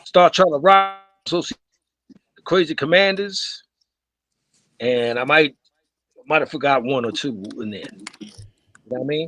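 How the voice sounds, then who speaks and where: Music plays behind a man with a fairly high pitch who talks at a moderate pace. He leaves long, frequent pauses, and his loudness swings widely. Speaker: breakdancer on a discussion panel. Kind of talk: live panel discussion.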